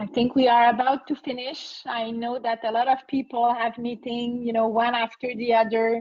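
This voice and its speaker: A woman with a French accent, high in pitch, monotone and flat, at a moderate pace with hardly any pauses. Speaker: HR consultant and entrepreneur. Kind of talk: webinar Q&A. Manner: halting.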